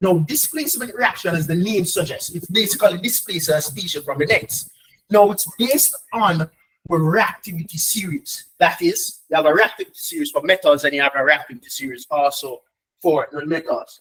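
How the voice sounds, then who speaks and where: This man's voice is pitched high for a man, with lively intonation. He speaks at a fairly quick pace in an animated tone. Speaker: chemistry tutor. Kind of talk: online lesson. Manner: fast.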